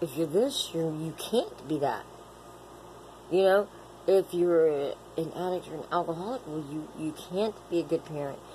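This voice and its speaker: Background noise is noticeable behind a woman with a fairly low voice. She leaves long, frequent pauses, and her pitch varies in an ordinary way. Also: moderate pace. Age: 40s. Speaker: vlogger in addiction recovery. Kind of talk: personal vlog monologue. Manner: rambling, halting with filler words.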